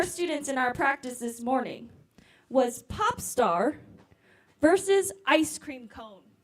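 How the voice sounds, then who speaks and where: Loud speech at a fairly slow pace. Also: woman. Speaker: program organizer. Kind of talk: event hosting. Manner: animated.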